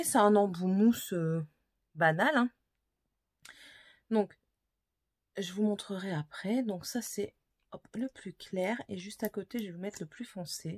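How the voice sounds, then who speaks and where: A woman's medium-pitched voice, fairly slow and lively in intonation, dry and close with no echo. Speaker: beauty vlogger. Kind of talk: casual product haul video. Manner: hesitant with many fillers.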